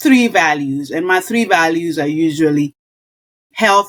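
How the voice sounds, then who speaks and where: A woman with a Kenyan accent speaks at a fairly slow pace in an animated tone with lively intonation. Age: 60s. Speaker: nurse and wellness coach. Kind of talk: podcast interview.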